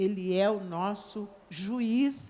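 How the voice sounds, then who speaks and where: The voice belongs to a woman with a medium pitch. Her tone is dark and mellow. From Brazil, Rio Grande do Sul. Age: 70s. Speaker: religious leader of African-Brazilian tradition. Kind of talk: panel debate talk.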